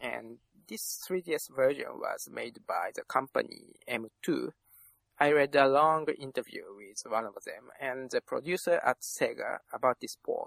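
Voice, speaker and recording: In a Japanese accent, a man speaks fairly slowly with big swings in loudness, the sound dry and close with no echo. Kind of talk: casual chat.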